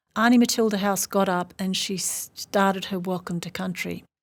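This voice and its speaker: A woman with an Australian accent and fairly even intonation, on a very clean recording with a silent background. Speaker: professor. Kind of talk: interview.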